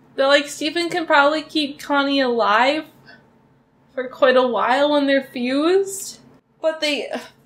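Fairly even intonation with long, frequent pauses. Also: woman. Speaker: reaction video creator. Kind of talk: casual vlog chat. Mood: emotional, wistful, sad. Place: home room.

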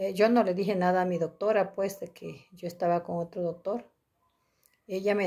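Against a quiet background, a woman talks at a fairly quick pace. Her tone is dark and mellow, her intonation monotone and flat. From Mexico, Tabasco. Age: 60s. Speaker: patient giving testimonial. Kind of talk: testimony. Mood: grateful, relieved. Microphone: phone near.

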